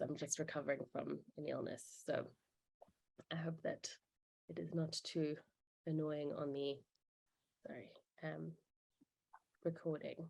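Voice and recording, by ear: A woman speaks at a moderate pace in a put-on character voice, very deep and low in pitch, croaky and hoarse, with long, frequent pauses.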